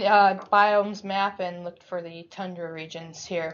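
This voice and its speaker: Here a woman uses a normal speaking voice at medium pitch. She keeps a moderate pace. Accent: American. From Alaska. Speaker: researcher. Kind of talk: lecture.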